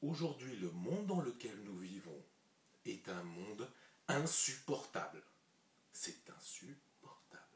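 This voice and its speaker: A man with a medium-pitched, somewhat breathy voice speaks very slowly. His pitch swings very widely, and he leaves long, frequent pauses. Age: 30s. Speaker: vlogger. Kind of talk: vlog monologue. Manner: casual, conversational.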